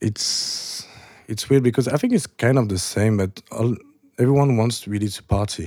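Using a French accent, a man speaks at a moderate pace and medium pitch with ordinary pitch variation. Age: 30s. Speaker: club DJ. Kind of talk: casual chat.

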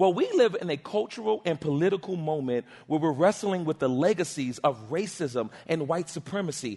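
Over noticeable background noise, a man with a high-pitched voice talks at a moderate pace in an animated tone with lively intonation. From Harlem, New York City. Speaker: pastor. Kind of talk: sermon. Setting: church.

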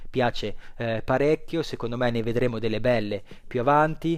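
At a fairly slow pace, a man speaks with medium pitch and fairly even intonation. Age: 30s. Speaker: podcast host, comics reviewer. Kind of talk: casual solo monologue. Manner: hesitant, frequent fillers.

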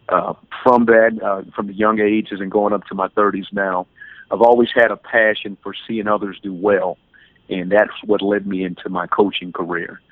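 This man has an American accent and a fairly low pitch. He speaks at a moderate pace in a monotone, flat intonation. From US South, Louisiana (New Orleans area, Slidell). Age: 30s. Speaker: life coach and motivational speaker. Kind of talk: podcast interview.

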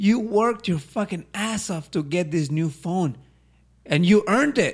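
There is only silence behind this man's voice in a very clean recording. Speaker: podcast co-host. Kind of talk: casual chat.

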